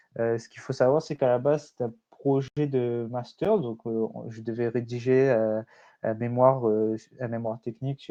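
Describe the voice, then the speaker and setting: A man speaks at medium pitch and a fairly slow pace. His intonation stays fairly even. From Réunion. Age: 20s. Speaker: startup founder. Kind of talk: conference presentation. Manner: hesitant, many fillers.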